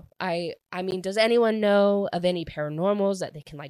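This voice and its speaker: The voice has an animated tone and a moderate pace. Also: woman. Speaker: book podcast host. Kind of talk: solo book review monologue.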